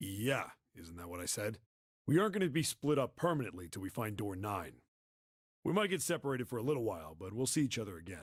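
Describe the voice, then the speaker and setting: Putting on a raspy character voice, a man rattles along at a very fast pace and medium pitch, with very wide pitch swings and big swings in loudness. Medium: video game. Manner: casual, blunt.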